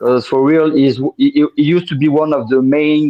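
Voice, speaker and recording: A man speaks in a strong French accent. His pace is fairly slow. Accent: thick French. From France. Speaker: podcast guest, music fan. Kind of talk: casual interview chat. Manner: halting, many fillers and repeats.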